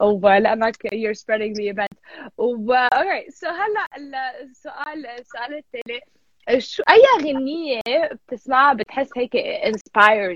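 A woman with a high pitch and an animated tone, at a fairly slow pace, in a dry, close sound with no echo. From US (Lebanese-American, California). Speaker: radio host. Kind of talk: casual radio interview. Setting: radio studio, live broadcast. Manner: animated, code-switching Arabic and English.

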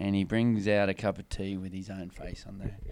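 A man with an unremarkable speaking voice and a fairly low pitch talks at a fairly quick pace. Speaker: podcast host. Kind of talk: casual interview, team-focused motivational talk.

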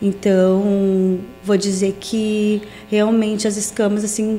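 Noticeable background noise runs under this recording. A woman speaks at a medium pitch in a monotone, flat way. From southern Brazil, Rio Grande do Sul (Portão). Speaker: pastor and mentor for women. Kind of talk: casual interview chat.

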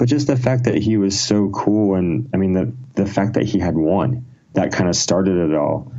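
Lively intonation from a man at a fairly low pitch and moderate pace, with audible room echo. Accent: American. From Ohio, US Midwest. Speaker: rock musician. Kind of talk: casual chat. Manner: animated.

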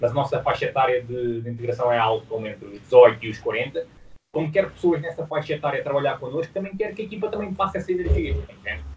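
Over noticeable background noise, a man talks at a very fast pace, his fairly high pitch making very wide swings and his loudness shifting in big swings. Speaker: fitness business founder. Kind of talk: interview. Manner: halting.

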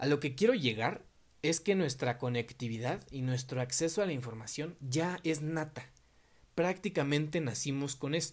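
In a Mexico City accent, a man with a fairly high pitch speaks at a moderate pace with lively intonation. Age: 20s. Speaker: podcast host. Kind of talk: solo podcast monologue.

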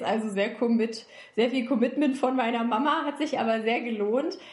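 A woman with a high-pitched voice talks while audible room echo rings around her. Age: 20s. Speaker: recruiter and self-development coach. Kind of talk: interview conversation. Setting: online call.

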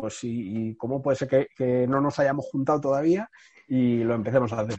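Dark and mellow in tone, a man speaks at medium pitch. His pace is moderate, with ordinary pitch variation. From Spain, Madrid. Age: 30s. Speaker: entrepreneur. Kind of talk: interview conversation. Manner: halting, with frequent repetitions.

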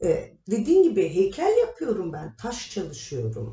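A woman talking at a very slow pace. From Turkey, Kahramanmaraş; childhood partly in Germany. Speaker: artist, sculptor. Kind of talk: interview.

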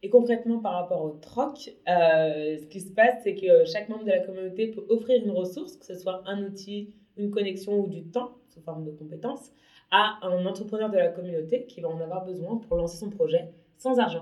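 A woman speaks in a plain, everyday voice at a medium pitch and a moderate pace. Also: ordinary pitch variation, big swings in loudness. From Paris, France. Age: 30s. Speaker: entrepreneur. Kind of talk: interview.

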